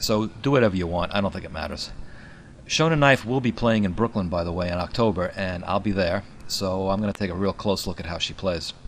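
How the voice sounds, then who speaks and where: A man speaks in a New York accent at a fairly low pitch. His pace is fairly quick and his pitch variation ordinary. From New York City. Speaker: musician and bass tutor. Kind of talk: tutorial.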